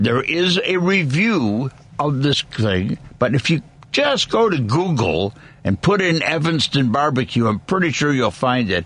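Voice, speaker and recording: A fairly high-pitched man talks at a fairly slow pace with vocal fry. His pitch swings very widely while his loudness stays very even. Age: 80s+. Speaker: radio host. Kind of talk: casual chat.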